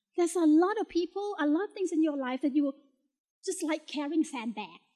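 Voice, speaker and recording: A woman speaks at a fairly quick pace in a Thai accent, her pitch extremely high. The sound is dry and close, with no echo. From Thailand. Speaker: motivational speaker, talent coach. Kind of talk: keynote speech. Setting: stage with audience.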